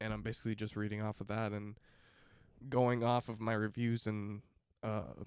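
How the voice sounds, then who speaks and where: This man's delivery is monotone and flat in intonation, moving at a moderate pace. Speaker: movie reviewer. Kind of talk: casual video review. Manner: casual, filler-heavy.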